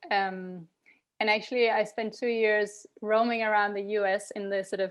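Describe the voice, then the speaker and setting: A woman with a Danish accent speaks in a fairly high pitch. Her intonation is monotone and flat, and the background is quiet. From Denmark. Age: 40s. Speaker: tech founder. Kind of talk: podcast interview. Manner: hesitant, many ums.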